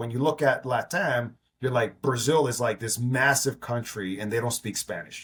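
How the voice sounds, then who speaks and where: An ordinary speaking voice from a man with an American accent, medium in pitch, at a fairly quick pace. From New York. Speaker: entrepreneur. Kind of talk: interview.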